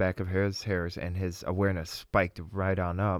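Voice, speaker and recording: A normal speaking voice from a man with an American accent, fairly low in pitch, at a moderate pace, in a dry, close sound with no echo, on a very clean recording with a silent background. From Russia, then Wisconsin. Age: young. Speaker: Bible school student. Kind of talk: interview.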